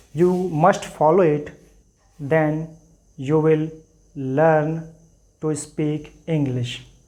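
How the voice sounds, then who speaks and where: Amid audible room echo, a man with an Indian accent speaks at a very slow pace with long, frequent pauses, his dark, mellow tone fairly high in pitch and monotone, flat in intonation. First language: Hindi. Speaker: English teacher. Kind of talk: tutorial. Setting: classroom with board.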